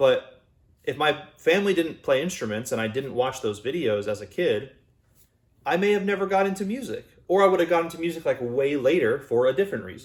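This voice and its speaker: A man speaks loud at a fairly quick pace. His pitch is fairly high, with very wide swings. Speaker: YouTuber and musician. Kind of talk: casual personal vlog monologue. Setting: home recording, unusual room. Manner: conversational, loose with fillers and restarts.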